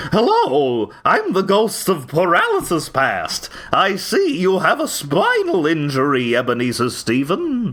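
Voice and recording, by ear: Using a put-on character voice, a man speaks at a fairly slow pace in a high pitch with hardly any pauses.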